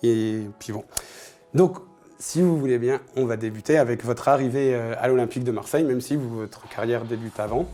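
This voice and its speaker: Music plays in the background while a man talks at a moderate pace with a medium pitch. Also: ordinary pitch variation. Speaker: football show host. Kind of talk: interview.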